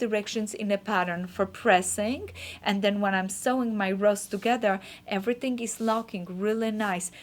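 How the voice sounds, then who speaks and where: A woman at medium pitch with a non-native accent and ordinary pitch variation. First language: not English. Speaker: quilting teacher. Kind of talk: tutorial.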